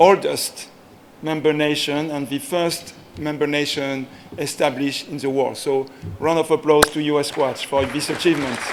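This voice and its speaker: A man in a French accent, fairly high in pitch, with monotone, flat intonation at a moderate pace over noticeable background noise. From France. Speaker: sports federation executive. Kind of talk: ceremony speech.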